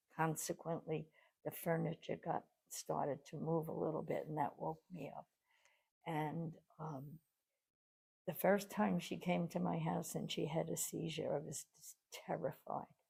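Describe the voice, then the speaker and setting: The woman's voice is very deep and low, with a dark, mellow tone and vocal fry. She keeps a moderate pace and fairly even intonation, leaving long, frequent pauses. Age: 80s+. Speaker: pet sitter. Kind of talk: interview answer.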